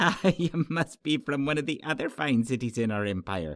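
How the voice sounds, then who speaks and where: A man puts on a character voice with a fairly high pitch, speaking at a moderate pace. The recording is very clean, with a silent background. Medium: read story. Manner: chuckling, genial.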